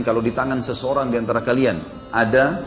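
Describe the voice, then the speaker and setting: A man talks with music playing in the background. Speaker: Islamic preacher. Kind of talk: religious sermon.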